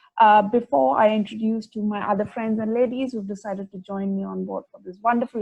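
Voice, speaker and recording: This woman has a fairly high pitch, a dark, mellow tone and a somewhat breathy quality, talking at a fairly quick pace with ordinary pitch variation in a dry, close sound with no echo. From India, New Delhi. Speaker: podcast host. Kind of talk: casual podcast chat.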